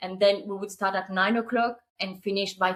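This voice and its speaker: In a French accent, a woman talks with monotone, flat intonation. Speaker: short-term rental business owner. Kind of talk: casual interview chat.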